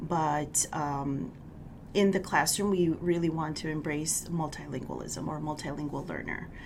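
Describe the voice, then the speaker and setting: A woman's fairly low voice at a moderate pace with fairly even intonation, with audible room echo and noticeable background noise. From California, US (Mexican immigrant family). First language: Spanish. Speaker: school district bilingual education director. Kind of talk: podcast interview. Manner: hesitant, many fillers.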